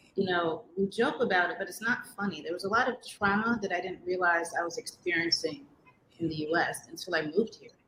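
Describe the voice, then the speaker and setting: Here a woman speaks with a New York accent. Her pace is fairly quick, with ordinary pitch variation. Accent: New York American English. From New York City. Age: 40s. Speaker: interviewee, expat. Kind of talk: interview.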